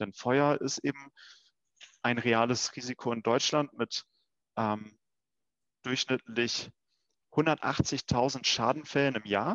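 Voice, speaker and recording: A man at medium pitch, very slow, with long and frequent pauses, fairly even intonation, and a dry, close sound free of echo. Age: 20s. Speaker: insurance start-up founder. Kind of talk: casual interview.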